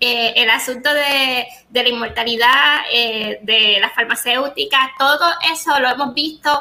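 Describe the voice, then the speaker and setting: A woman speaks at a fairly slow pace in a high pitch. Her pitch variation is ordinary. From Puerto Rico. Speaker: podcast host. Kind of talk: casual chat.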